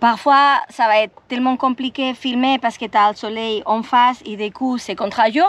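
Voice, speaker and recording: Hardly pausing, a woman with a Spanish accent talks at a moderate pace in a high pitch with ordinary pitch variation. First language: Spanish (speaking French). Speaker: travel vlogger. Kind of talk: vlog talking to camera. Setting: outdoors.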